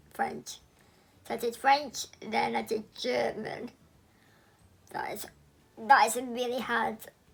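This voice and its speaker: In an English accent, a woman talks at a very slow pace, leaving long, frequent pauses amid big swings in loudness. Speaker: YouTuber sharing personal story. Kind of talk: personal vlog testimony. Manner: careful, deliberate articulation.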